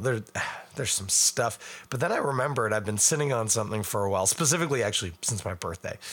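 A man talks at a fairly quick pace with lively intonation. His voice is raspy, with a fairly bright tone.

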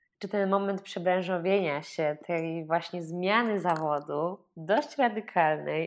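A woman with a fairly low pitch and ordinary pitch variation has an ordinary speaking voice. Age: 20s. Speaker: podcast host. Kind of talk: interview; scripted intro.

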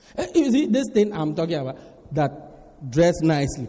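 This man's tone is animated, his pitch swinging very widely at a moderate pace. There's noticeable background noise. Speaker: preacher. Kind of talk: sermon. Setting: church with congregation. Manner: animated, humorous, call-and-response with the congregation.

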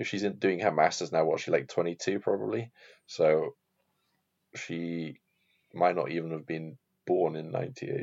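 A man's very deep, low voice broken by long, frequent pauses. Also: ordinary pitch variation, moderate pace. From Wales. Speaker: podcast co-host. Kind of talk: casual chat.

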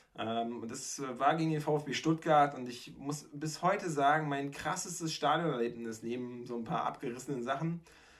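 A man talks at a moderate pace in a fairly high pitch, with ordinary pitch variation. It is a plain, everyday voice. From Mecklenburg-Vorpommern, Germany. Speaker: podcast host. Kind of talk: casual chat.

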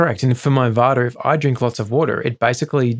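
This man has a plain, everyday voice, medium in pitch, and talks at a fairly quick pace. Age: 40s. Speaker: wellness speaker, host's husband. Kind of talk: casual chat.

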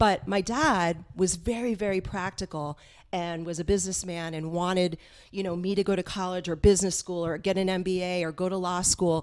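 On a very clean recording with a silent background, a woman with an American accent talks at a fairly quick pace and a medium pitch. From Westwood, US. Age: 50s. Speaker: stand-up comedian. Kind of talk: casual chat. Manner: animated.

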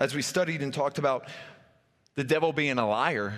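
An ordinary speaking voice at a fairly quick pace, with an American accent. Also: man. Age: 40s. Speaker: pastor. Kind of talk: sermon.

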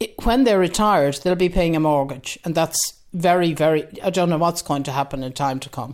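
With an Irish accent, a woman talks at a fairly quick pace in a fairly low pitch. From west of Ireland. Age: 70s. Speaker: retired voter. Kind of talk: interview.

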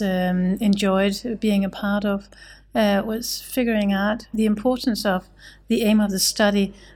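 A woman's voice, somewhat breathy and medium in pitch. The recording is very clean, with a silent background. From Denmark. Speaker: pharmacy researcher. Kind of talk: panel discussion.

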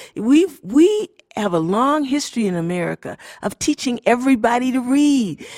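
A woman speaks with a high pitch. Her voice makes very wide pitch swings. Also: moderate pace, dry, close sound with no echo. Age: 60s. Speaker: reading expert and consultant. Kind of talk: conference interview. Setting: live at conference.

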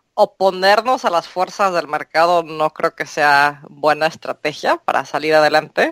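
A woman has a normal speaking voice, pitched fairly low. She talks fairly slowly with ordinary pitch variation. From Mexico. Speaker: translator and court interpreter. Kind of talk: interview.

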